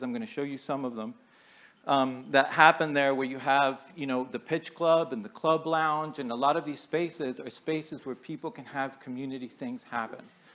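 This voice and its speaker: A man's fairly high voice moves at a fairly quick clip, its pitch varying in an ordinary way. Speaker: architect presenting at a conference. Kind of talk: conference presentation. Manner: loud.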